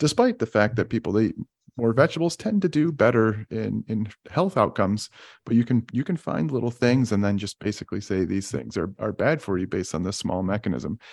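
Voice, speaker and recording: A man speaks at a fairly quick pace with lively intonation, his medium-pitched voice showing vocal fry. The sound is dry and close with no echo, over a quiet background. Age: 30s. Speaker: physician. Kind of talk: casual interview chat.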